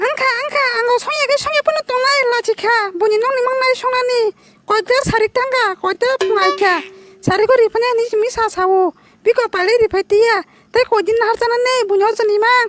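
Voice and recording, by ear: A cartoonish character voice at an extremely high pitch and a fairly quick pace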